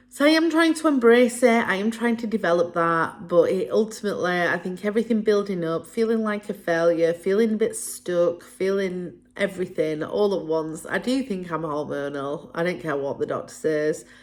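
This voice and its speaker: On a very clean recording with a silent background, a woman with a northern English accent speaks at a moderate pace and medium pitch, her intonation lively. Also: hardly any pauses. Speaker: vlogger. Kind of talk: personal vlog monologue. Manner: hesitant.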